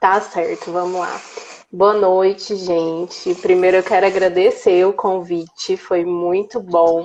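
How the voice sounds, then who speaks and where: A medium-pitched woman at a very slow pace, monotone and flat in intonation. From Brazil, Minas Gerais (Uberlândia). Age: 20s. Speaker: accessibility speaker, former history teacher. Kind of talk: casual interview on live stream. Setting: Instagram live video call.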